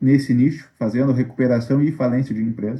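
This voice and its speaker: Pitched at a medium level, a man speaks in a dark, mellow tone with ordinary pitch variation. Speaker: lawyer. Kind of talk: online Q&A briefing to creditors.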